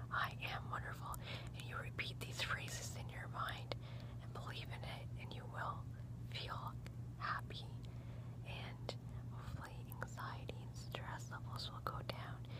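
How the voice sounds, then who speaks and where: Soft-spoken and fairly slow, a woman leaves long, frequent pauses, her dry sound with no echo set against loud background noise. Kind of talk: soft role-play talk to viewer. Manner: soft, close ASMR murmur. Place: home room. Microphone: phone near.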